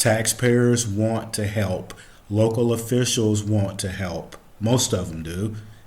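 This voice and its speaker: Very slowly, a man speaks in a fairly low voice with fairly even intonation. Audible room echo surrounds the recording. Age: 60s. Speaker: commentary podcast host. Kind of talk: solo commentary monologue.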